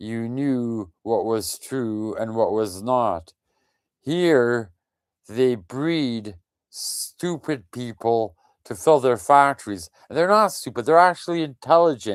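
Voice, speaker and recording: In a very clean recording with a silent background, a man with a medium pitch speaks at a very slow pace with lively intonation. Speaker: political activist vlogger. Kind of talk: monologue. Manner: halting.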